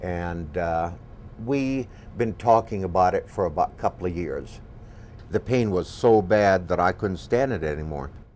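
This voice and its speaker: A man with a very deep, low voice and an American accent talks at a moderate pace with lively intonation. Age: 60s. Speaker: patient and golf professional. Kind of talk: testimony. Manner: halting.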